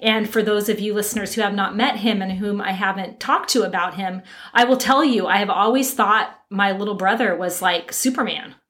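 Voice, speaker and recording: Speaking fairly quickly with hardly any pauses, a woman keeps a medium pitch and fairly even intonation. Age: 50s. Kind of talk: casual chat.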